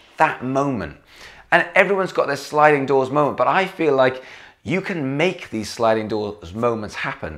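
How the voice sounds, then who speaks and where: A man speaks with a Welsh accent. His tone is animated and his intonation lively. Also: medium pitch for a man, moderate pace. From Wales. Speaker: vlogger and gigging musician. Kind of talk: casual vlog monologue. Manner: chatty, animated.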